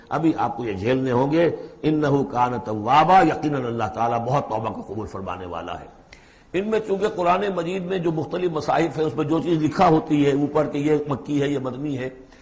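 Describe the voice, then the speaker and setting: A man speaks at a fairly high pitch with lively intonation. There is noticeable background noise. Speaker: Islamic scholar giving a Quran lecture. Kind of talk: Quran exegesis lecture in Urdu. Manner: explanatory, lecturing.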